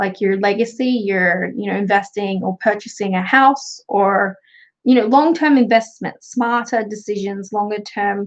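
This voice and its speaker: Fairly even intonation and a fairly slow pace in a woman's speech. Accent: Australian. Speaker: tarot reader and craft youtuber. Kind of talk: livestream tarot reading. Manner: casual.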